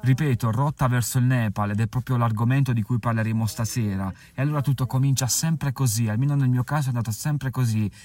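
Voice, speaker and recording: A man's medium-pitched, dark, mellow, somewhat breathy voice at a very fast pace, with fairly even intonation and very even loudness. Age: 30s. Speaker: travel podcaster and author. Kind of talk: casual podcast monologue. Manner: halting.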